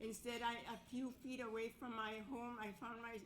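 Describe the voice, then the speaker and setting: A woman speaking very slowly in a Canadian accent, fairly high in pitch and flat and monotone, with audible room echo and noticeable background noise. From northern Manitoba, Cree First Nation. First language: Cree. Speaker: residential school survivor. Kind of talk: testimony. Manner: halting.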